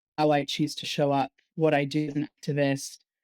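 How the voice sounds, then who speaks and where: The woman's pitch is very deep and low, and her tone is dark and mellow with flat, monotone intonation. The sound is dry and close with no echo, on a very clean recording with a silent background. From London, England. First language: Hungarian. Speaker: activist and researcher. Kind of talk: interview conversation. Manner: halting, many fillers and restarts.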